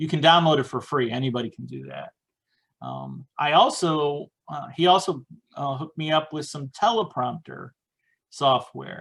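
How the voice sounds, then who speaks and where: At a moderate pace, a man talks at a fairly high pitch with ordinary pitch variation and big swings in loudness. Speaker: indie author. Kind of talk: casual presentation. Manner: hesitant, many fillers.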